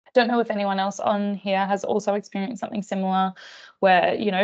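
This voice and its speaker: Ordinary pitch variation marks a woman's medium-pitched voice. She has an Australian accent. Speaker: psychologist presenting staff training. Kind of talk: online professional training presentation. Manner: fast.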